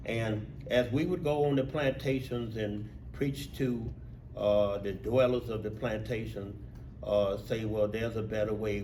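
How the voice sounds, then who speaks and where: A man with a Mississippi accent speaks at a fairly low pitch amid audible room echo. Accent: Southern US, Mississippi. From US South, rural Mississippi. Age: 70s. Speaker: civil rights veteran and union steward. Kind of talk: talk to an audience. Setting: talk to a group of union workers.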